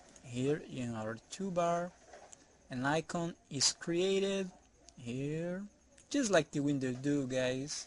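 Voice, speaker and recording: A man with a non-native accent speaks at a very slow pace and a fairly high pitch, with ordinary pitch variation and long, frequent pauses. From outside the US, non-English-speaking country. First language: not English. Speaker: software developer. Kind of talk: tutorial. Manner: halting, repeats words.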